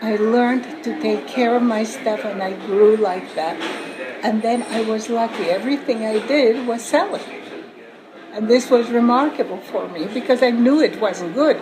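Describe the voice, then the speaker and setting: Through noticeable background noise and audible room echo, a woman speaks at a fairly high pitch with ordinary pitch variation. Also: moderate pace. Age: 80s+. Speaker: author and entrepreneur. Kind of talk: interview. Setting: conference. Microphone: poor audio quality.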